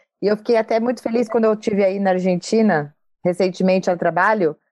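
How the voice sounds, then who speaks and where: Against a quiet background, a woman talks at a moderate pace with fairly even intonation in a plain, everyday voice. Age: 40s. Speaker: podcast host, journalist and executive. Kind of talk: interview.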